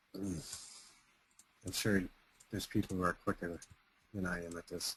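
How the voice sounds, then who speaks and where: A man's very deep, low voice moves at a fairly slow pace with monotone, flat intonation. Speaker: software tutorial webinar host. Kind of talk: tutorial. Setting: webinar recording.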